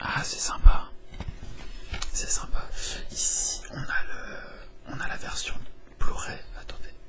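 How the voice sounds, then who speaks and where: Someone whispers at a very slow pace, with long, frequent pauses and big swings in loudness, over noticeable background noise. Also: man. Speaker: ASMR YouTuber, game collector unboxing. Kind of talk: casual talk to camera, unboxing.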